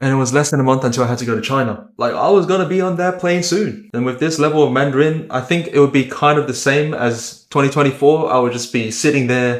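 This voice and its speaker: Very fast speech from a man with hardly any pauses, a fairly high pitch and ordinary pitch variation. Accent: Australian. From Australia. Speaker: vlogger. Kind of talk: personal vlog narration. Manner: casual.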